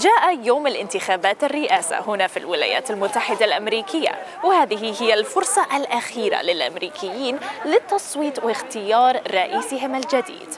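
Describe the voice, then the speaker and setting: Over noticeable background noise, a woman with a high pitch talks at a moderate pace with very wide pitch swings. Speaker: TV reporter. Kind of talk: live TV news report.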